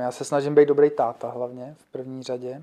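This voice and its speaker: With a dark, mellow tone and fairly high pitch, a man speaks at a moderate pace in a monotone, flat intonation. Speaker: financial sales agent. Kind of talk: interview. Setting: studio. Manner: halting.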